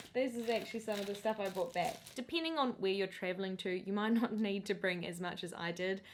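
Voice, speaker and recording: A woman with a New Zealand accent speaks at a fairly quick pace with hardly any pauses. Her pitch sits in the middle range and varies in an ordinary way. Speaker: lifestyle vlogger. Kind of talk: casual tips vlog. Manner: animated.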